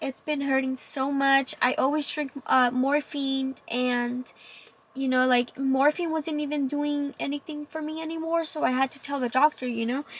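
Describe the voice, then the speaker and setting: Speaking in a Spanish accent at a moderate pace, a woman keeps a high pitch and a monotone, flat intonation. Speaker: vlogger sharing cancer story. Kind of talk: personal testimony vlog. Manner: halting, many fillers.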